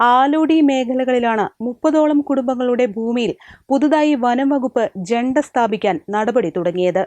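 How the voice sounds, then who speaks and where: The tone is dark and mellow, with lively intonation and very even loudness. The sound is dry and close with no echo, over a quiet background. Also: woman, high pitch for a woman. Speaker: news reporter. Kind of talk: news report voice-over.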